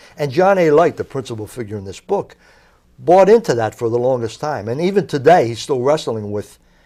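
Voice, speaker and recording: This man talks at a fairly quick pace in a South Philadelphia accent, his medium-pitched voice making very wide pitch swings and big jumps in loudness. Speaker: author, crime journalist. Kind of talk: interview.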